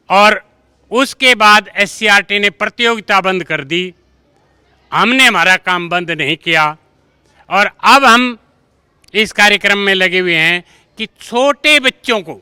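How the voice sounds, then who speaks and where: In a dry, close sound with no echo, a man projects a raised voice with a high pitch and a bright, sharp tone, leaving long, frequent pauses. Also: ordinary pitch variation. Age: 60s. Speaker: school teacher. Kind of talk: interview. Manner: animated.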